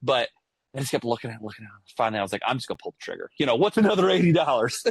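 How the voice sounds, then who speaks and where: Speaking at a very fast pace, a man with a medium pitch makes very wide pitch swings in a dry, close sound with no echo. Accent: American. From Ohio, US Midwest. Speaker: podcast host. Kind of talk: casual chat. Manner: loud; animated.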